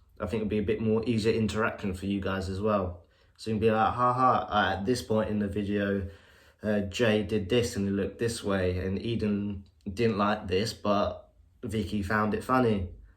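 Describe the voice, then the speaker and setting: Amid audible room echo, a man speaks at a moderate pace in a fairly low pitch with monotone, flat intonation. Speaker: podcast co-host. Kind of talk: casual update to fans.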